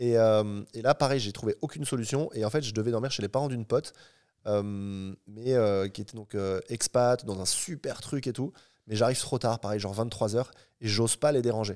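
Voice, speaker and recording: A man talks at a moderate pace in an ordinary speaking voice, fairly low in pitch with ordinary pitch variation and big swings in loudness. The recording is very clean, with a silent background and a dry, close sound with no echo. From Paris region, France. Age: 30s. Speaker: entrepreneur and traveler. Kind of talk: casual interview. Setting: home cinema room.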